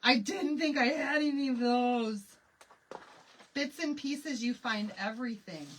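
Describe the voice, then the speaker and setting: At a fairly slow pace with long, frequent pauses, a woman with an American accent talks in a high pitch, her tone animated and her intonation lively. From Michigan. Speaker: craft live streamer. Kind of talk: live craft tutorial chat. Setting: live stream. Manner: chatty, animated.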